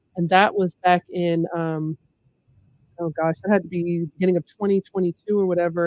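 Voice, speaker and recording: With an American accent, a woman speaks at a fairly low pitch in monotone, flat intonation, recorded with a dry, close sound and no echo. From US South, Memphis, Tennessee. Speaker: social scientist and comedian. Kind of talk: interview conversation.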